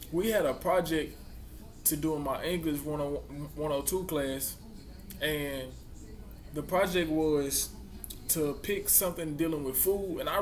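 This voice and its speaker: With a Mississippi accent, a man speaks at a fairly high pitch and fairly even intonation amid audible room echo. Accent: Southern US, Mississippi. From US South. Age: young. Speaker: college student vlogger. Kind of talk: casual vlog talk. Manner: halting.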